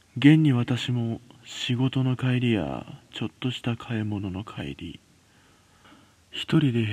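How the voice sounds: Medium pitch from a man, with a slightly mellow tone, a slightly husky edge and lively intonation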